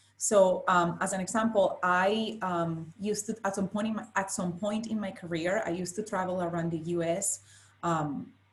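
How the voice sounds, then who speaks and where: A woman talks at medium pitch with a strong Spanish accent. Her voice is somewhat breathy, with fairly even intonation. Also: moderate pace. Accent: thick Spanish. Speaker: finance professional, panelist. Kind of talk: panel discussion. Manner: halting, repeats words.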